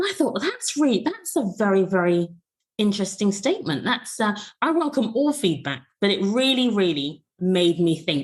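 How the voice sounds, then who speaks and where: Somewhat breathy and medium-pitched, a woman talks at a moderate pace with very even loudness and very wide pitch swings. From England, Bristol (West Country). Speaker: podcast co-host, former educator. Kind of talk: casual podcast discussion. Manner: clear, well-enunciated; measured, with frequent hesitations.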